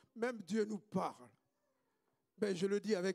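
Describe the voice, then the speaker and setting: Dark and mellow in tone, a man talks at a fairly slow pace in a dry, close recording with no echo. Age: 60s. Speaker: pastor. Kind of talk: sermon.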